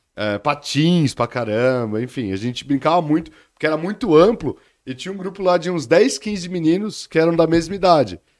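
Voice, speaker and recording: On a very clean recording with a silent background, a man with an ordinary speaking voice talks at a moderate pace with lively intonation. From São Paulo, Brazil. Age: 30s. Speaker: economist. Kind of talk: interview.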